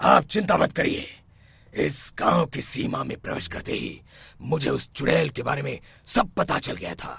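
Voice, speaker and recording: A man uses a raspy, cartoonish character voice at a fairly high pitch and moderate pace, with big swings in loudness. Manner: authoritative.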